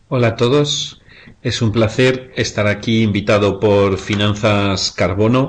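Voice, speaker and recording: In a Spanish accent, a man with a fairly low pitch keeps his intonation fairly even. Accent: Spanish (Spain). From Spain. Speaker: investment fund director. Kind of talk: webinar presentation. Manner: halting, with frequent fillers.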